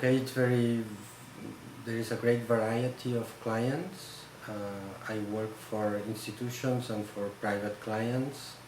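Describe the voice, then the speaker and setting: With a Catalan Spanish accent, a man speaks at a fairly slow pace and a medium pitch with fairly even intonation. Audible room echo and noticeable background noise fill the recording. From Spain, Barcelona (Catalonia). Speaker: photograph conservator. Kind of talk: interview. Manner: halting.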